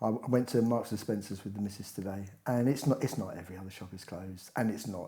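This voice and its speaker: A man's somewhat breathy, dark, mellow voice with an English accent, at a very fast pace with ordinary pitch variation. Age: 60s. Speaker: podcast co-host, retiree. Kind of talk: casual chat. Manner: animated.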